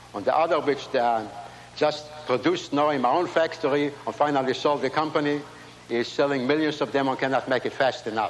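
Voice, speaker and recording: Noticeable background noise sits under a man's fairly high voice. He talks at a fairly quick pace with fairly even intonation. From Latvia. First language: not English. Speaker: inventor and Holocaust survivor. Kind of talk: keynote speech. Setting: stage with audience.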